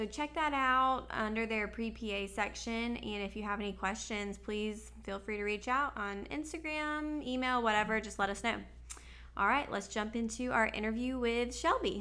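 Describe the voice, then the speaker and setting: This woman's bright, sharp tone sits fairly high in pitch, moving at a moderate pace with ordinary pitch variation while room echo is audible. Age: 20s. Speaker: podcast host. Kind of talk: casual chat. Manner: animated.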